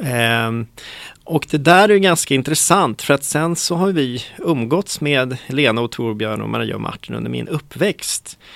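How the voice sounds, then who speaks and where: A man talks at a fairly slow pace in a medium pitch, with lively intonation. His is an unremarkable speaking voice. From Stockholm, Sweden. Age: 40s. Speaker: city director. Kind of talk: interview conversation.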